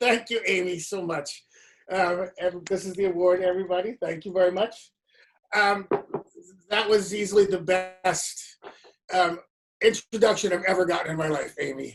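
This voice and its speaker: With music in the background, the speaker goes at a moderate pace, keeping fairly even intonation and leaving long, frequent pauses. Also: woman. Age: 60s. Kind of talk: award acceptance speech. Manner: many filler words.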